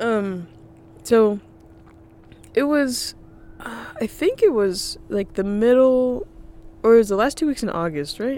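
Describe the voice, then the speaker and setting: A woman speaks with lively intonation at a fairly slow pace, leaving long, frequent pauses. Noticeable background noise runs underneath. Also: fairly high pitch for a woman. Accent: American. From North Carolina. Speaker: podcast co-host. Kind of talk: casual chat. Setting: parked vehicle on a parking garage deck.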